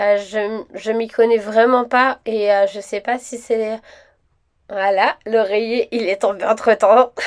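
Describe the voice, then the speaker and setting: At a very slow pace, a woman speaks with a fairly high pitch and monotone, flat intonation. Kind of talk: casual shopping haul talk to camera. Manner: chatty, hesitant with many fillers.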